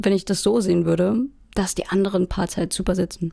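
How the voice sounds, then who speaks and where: This woman's voice has a medium pitch and a dark, mellow tone with vocal fry. Her intonation stays fairly even. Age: 20s. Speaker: music student and band musician. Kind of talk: casual chat.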